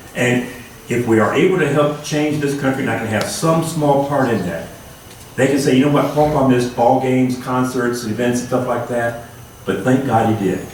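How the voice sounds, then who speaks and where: Amid noticeable background noise and audible room echo, a man talks at a moderate pace with medium pitch and ordinary pitch variation. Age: 60s. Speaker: congressional candidate. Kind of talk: campaign speech. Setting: candidate forum with audience.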